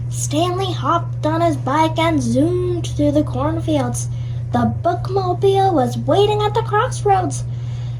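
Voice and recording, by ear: Fairly even intonation in a reading aloud in a natural voice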